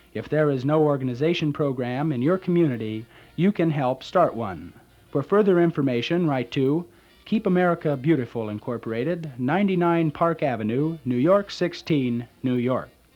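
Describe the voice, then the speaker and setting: A man with a fairly high pitch speaks at a moderate pace with lively intonation while music plays in the background. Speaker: radio announcer auditioning for a local station. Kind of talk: radio station identification, public service announcements and music back-announcement.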